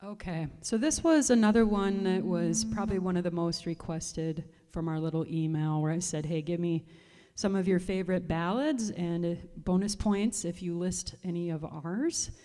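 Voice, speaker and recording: Music plays in the background as a woman with a fairly low pitch and ordinary pitch variation speaks at a moderate pace. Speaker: singer and bandleader. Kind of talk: casual livestream chat with fans. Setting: livestream.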